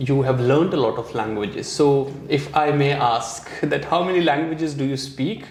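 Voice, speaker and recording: There is audible room echo and noticeable background noise as a man talks at a moderate pace with a fairly high pitch and hardly any pauses. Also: ordinary pitch variation. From India. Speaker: YouTube vlogger and interviewer. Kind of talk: interview.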